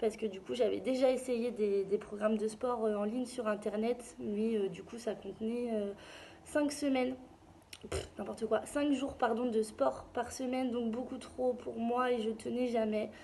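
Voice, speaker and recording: Noticeable background noise sits behind a woman's voice. She talks at a fairly slow pace and a fairly high pitch. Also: fairly even intonation. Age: 20s. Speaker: client giving a testimonial. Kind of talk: testimony. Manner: hesitant, many fillers.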